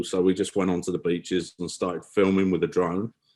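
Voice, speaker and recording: In a very clean recording with a silent background, a man with an English accent talks at a very deep, low pitch. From England. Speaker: photography business owner. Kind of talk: podcast interview. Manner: halting.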